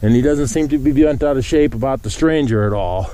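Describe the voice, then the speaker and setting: Amid noticeable background noise, a man talks at a moderate pace with a medium pitch. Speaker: cattle farmer. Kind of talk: casual walking vlog. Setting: outdoors walking in pasture. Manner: calm.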